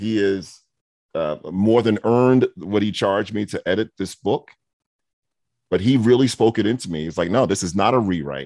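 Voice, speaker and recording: A man with an American accent and a normal speaking voice talks at a moderate pace in a fairly low pitch, with a dry, close sound and no echo. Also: ordinary pitch variation. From New York (Brooklyn and Queens). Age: 50s. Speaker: education consultant and speaker, former principal. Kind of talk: interview.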